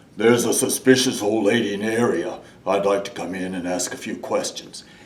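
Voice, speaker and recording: A man puts on a character voice, fairly low in pitch. He moves at a fairly quick pace. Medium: read story.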